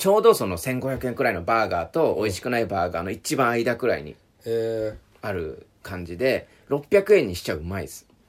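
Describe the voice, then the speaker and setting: This man's voice shows very wide pitch swings, big swings in loudness, and vocal fry. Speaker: podcast host. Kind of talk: casual chat. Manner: fast, smooth talker; constantly high energy.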